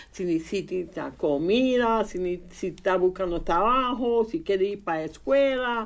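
With hardly any pauses, a woman of medium pitch talks at a fairly slow pace using lively intonation. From Indiana, US, of Puerto Rican parents. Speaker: preschool program family advocate. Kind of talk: radio interview. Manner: halting.

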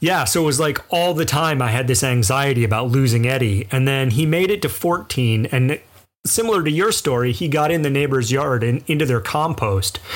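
Lively intonation runs through an ordinary speaking voice. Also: man. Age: 40s. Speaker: podcast co-host. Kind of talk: casual chat.

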